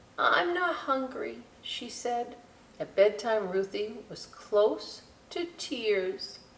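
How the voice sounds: The speaker reads. It is a natural reading voice.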